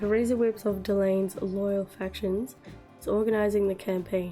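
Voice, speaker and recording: Music plays in the background. The speech moves at a fairly slow pace with fairly even intonation. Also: woman. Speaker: gaming content creator. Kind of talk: gaming news roundup.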